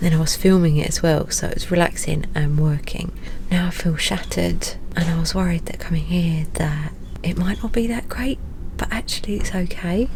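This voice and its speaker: A woman with a British accent talks at a moderate pace, with audible room echo and noticeable background noise. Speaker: travel vlogger. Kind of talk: casual vlog talk to camera.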